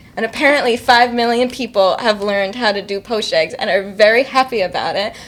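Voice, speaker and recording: A woman speaks with an American accent and a fairly high voice. Her pace is moderate and her pitch varies in an ordinary way. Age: young. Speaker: indie singer-songwriter. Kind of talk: casual interview chat. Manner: matter-of-fact.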